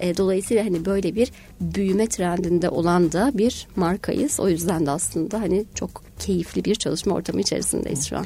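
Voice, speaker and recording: A woman with a fairly low pitch, a dark, mellow tone and vocal fry speaks at a moderate pace with hardly any pauses. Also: ordinary pitch variation. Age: 40s. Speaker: human resources director. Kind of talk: radio interview. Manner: many hesitation fillers.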